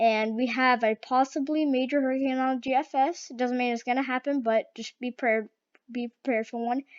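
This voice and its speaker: A woman's high-pitched voice at a fairly quick pace, flat and monotone in intonation. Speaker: weather video creator. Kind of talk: casual weather forecast commentary. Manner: halting, many fillers.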